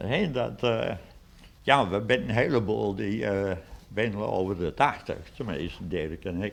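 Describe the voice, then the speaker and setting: Over audible room echo, a man with a fairly low pitch and vocal fry talks at a fairly slow pace with lively intonation. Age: 80s+. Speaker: museum founder and collector. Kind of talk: interview. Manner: hesitant, many fillers.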